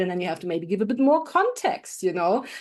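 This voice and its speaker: A woman talks with a German accent and very wide pitch swings. The background is quiet. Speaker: AI specialist and leadership trainer. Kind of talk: podcast interview. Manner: animated.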